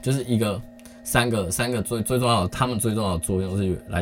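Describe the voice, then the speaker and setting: A man's fairly low, somewhat breathy voice at a fairly quick pace, with lively intonation. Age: 30s. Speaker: podcast host. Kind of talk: casual solo chat. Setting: home recording late at night. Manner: halting, many pauses.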